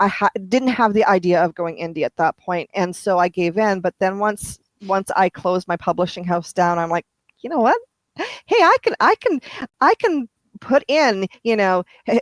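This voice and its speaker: A woman with an ordinary speaking voice talks at a moderate pace and medium pitch, with ordinary pitch variation and a dry, close sound with no echo. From Canada. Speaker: romance author. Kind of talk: interview.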